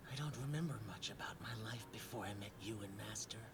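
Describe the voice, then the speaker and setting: A cartoonish character voice from a man, medium in pitch and fairly quick, over loud background noise. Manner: brooding.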